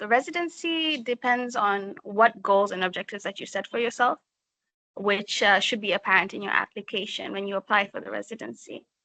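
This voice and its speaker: Bright and sharp in tone, a woman speaks at a moderate pace with ordinary pitch variation in a dry, close sound with no echo. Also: big swings in loudness. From Kenya, Mombasa. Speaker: writer. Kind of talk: online info session talk. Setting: video call. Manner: halting, many fillers.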